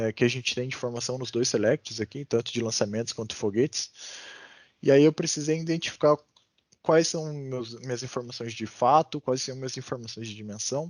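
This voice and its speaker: A man speaks at a medium pitch and a moderate pace, with ordinary pitch variation. The sound is dry and close, with no echo. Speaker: data analysis instructor. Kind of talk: online class lecture. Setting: video call. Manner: many filler hesitations.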